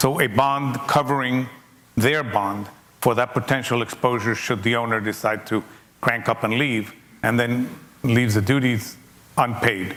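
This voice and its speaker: At a moderate pace, a man talks with fairly even intonation and long, frequent pauses. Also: very even loudness. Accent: non-native. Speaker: logistics executive speaking at a seminar. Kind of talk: seminar Q&A talk. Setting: conference seminar with audience.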